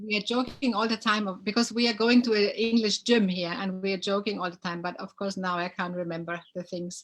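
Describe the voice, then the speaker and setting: With a German accent, a woman speaks at a medium pitch and fairly even intonation. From Germany. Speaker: dancer. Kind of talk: casual chat. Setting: live video stream. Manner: hesitant.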